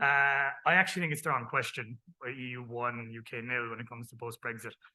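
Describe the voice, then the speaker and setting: A man talks very fast in an Irish accent. His medium-pitched voice is monotone and flat. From Ireland. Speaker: tax team head. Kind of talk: panel discussion.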